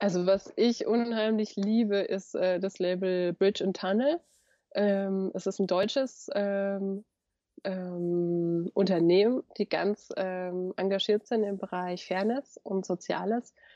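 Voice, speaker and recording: Her pitch medium, the woman draws out her words at a very slow pace. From Germany, Lower Franconia (Bavaria). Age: 30s. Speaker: author and sustainable fashion expert. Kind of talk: interview. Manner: animated; hesitant with fillers.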